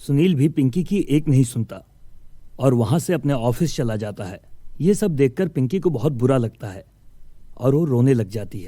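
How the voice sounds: Dark and mellow in tone, a man's voice sits at a medium pitch. He speaks at a moderate pace with lively intonation.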